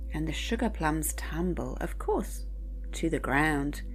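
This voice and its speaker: Over music in the background, the speaker uses a gentle, soothing tone at a very slow pace. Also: woman. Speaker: poetry reader. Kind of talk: bedtime poetry reading. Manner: gentle, soothing, calm.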